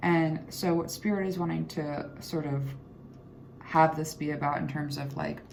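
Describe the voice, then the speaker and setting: Mumbling at a moderate pace, a woman with a very deep, low voice is heard through audible room echo and noticeable background noise. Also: fairly even intonation. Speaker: tarot reader. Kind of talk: tarot reading.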